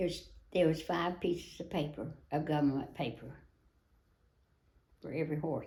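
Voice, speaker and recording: A woman with a Tennessee accent speaks at a moderate pace in a very deep, low pitch, her dark, mellow tone somewhat breathy, her intonation fairly even, with long, frequent pauses and audible room echo. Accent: Southern US (Tennessee). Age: 80s+. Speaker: retired wild horse adopter, rancher. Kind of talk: interview. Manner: halting.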